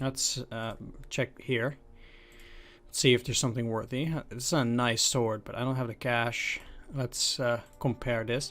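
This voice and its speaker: A man with a non-native accent, monotone and flat in intonation, with long, frequent pauses. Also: medium pitch for a man, moderate pace. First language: not English. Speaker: video game let's player. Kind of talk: let's play commentary, reading game text aloud. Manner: halting.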